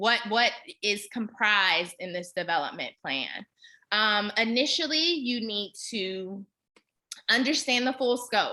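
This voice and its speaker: A woman in an American accent talks at a fairly slow pace, her fairly high-pitched voice bright and sharp in tone with lively intonation. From Kansas, Wichita. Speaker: fundraising trainer. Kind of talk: webinar presentation.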